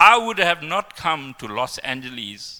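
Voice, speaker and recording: A man talks at a fairly slow pace with a bright, sharp tone and vocal fry. His pitch swings very widely. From South Africa. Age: 60s. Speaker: devotee speaker. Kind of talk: testimony.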